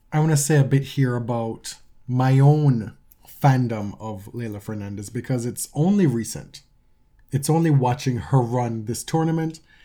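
With a dark, mellow tone, a man speaks at medium pitch and a moderate pace, using ordinary pitch variation. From Jamaica. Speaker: tennis podcast co-host. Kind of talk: casual chat.

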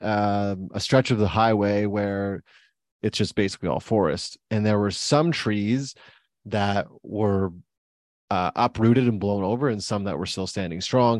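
Against a quiet background, a man with a fairly low pitch talks at a fairly slow pace. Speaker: podcast host and coach. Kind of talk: casual interview.

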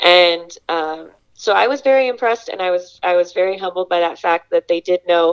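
At a moderate pace, a woman uses an ordinary speaking voice, fairly low in pitch, with ordinary pitch variation. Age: 20s. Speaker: former volunteer. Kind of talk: interview.

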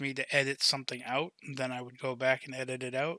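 A man's bright, sharp voice at a fairly high pitch, monotone and flat, on a very clean recording with a silent background. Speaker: podcast host. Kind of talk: casual chat, Q&A podcast.

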